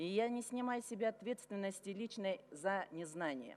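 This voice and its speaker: Her intonation is lively. A woman speaks at a medium pitch. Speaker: member of parliament. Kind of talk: formal speech to parliament. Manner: formal.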